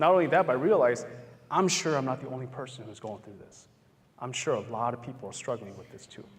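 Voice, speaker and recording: A man's somewhat breathy voice with an American accent, medium in pitch, with lively intonation at a very fast pace. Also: big swings in loudness. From US Hmong American community. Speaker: psychologist and motivational speaker. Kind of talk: public talk with Q&A. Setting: campus event with live audience. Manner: conversational.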